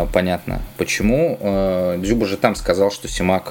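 A man's very deep, low voice at a fairly slow pace, fairly even in intonation, with noticeable background noise. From Saint Petersburg, Russia. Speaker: football journalist. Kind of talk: casual chat.

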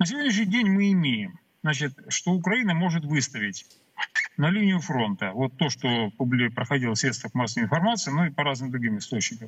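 Talking at a fairly quick pace, a man with a fairly high pitch and a somewhat breathy voice makes very wide pitch swings while keeping his loudness very even. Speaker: military expert. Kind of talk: live interview on TV. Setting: remote video link. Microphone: connection problems.

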